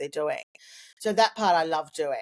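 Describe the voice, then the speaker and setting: This woman talks at a fairly quick pace with an Australian accent. Her fairly low pitch shows ordinary variation, and the sound is dry and close with no echo. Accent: Australian, recently strengthened. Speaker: communications consultant. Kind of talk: interview. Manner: halting with repetitions.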